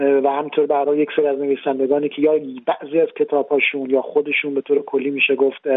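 Very fast and flat, a man delivers his words in a monotone at a fairly high pitch. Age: 40s. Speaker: novelist. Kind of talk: radio interview.

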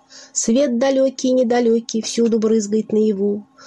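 Noticeable background noise is present. A woman speaks at a fairly slow pace. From Russia, Nizhny Novgorod. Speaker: poet. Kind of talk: poetry reading.

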